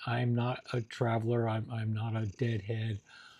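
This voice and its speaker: A man speaks fairly slowly in a dark, mellow, somewhat breathy voice, with a dry, close sound and no echo. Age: 60s. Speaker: YouTuber, amateur musician. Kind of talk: casual vlog monologue. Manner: halting, many fillers.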